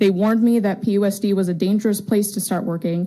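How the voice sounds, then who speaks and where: Very fast and fairly even in intonation, a woman speaks with an American accent. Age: 20s. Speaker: teacher giving public comment. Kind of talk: public comment at a school board meeting. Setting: public board meeting.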